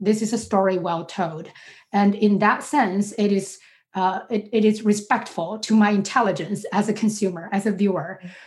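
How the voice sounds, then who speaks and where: A somewhat breathy woman with a Chinese accent talks at a moderate pace with fairly even intonation. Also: medium pitch for a woman. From China, Beijing. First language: Mandarin Chinese. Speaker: sociology professor. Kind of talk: academic interview.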